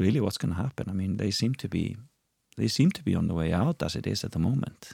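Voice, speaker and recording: A man speaks with an Icelandic accent in a very deep, low voice. His intonation is lively, and the sound is dry and close with no echo. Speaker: TV presenter and entertainer. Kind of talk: casual chat. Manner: halting.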